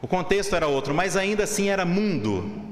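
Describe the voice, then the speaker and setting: A man with a Brazilian accent and a high pitch speaks with lively intonation at a moderate pace. Noticeable background noise and audible room echo come through. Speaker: seminarian preacher. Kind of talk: sermon. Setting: church pulpit.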